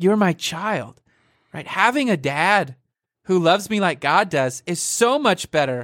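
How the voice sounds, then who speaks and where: A man speaks loudly. The recording is very clean, with a silent background. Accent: American. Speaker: podcast host, church staff member. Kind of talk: casual chat, faith-based podcast. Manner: loud, excitable.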